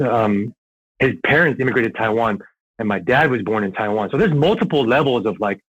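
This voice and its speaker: With a plain, everyday voice and an American accent, a man talks at a fairly quick pace at medium pitch with ordinary pitch variation. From Southern California and New York. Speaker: airsoft player. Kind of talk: casual podcast interview. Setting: podcast recording, audio only.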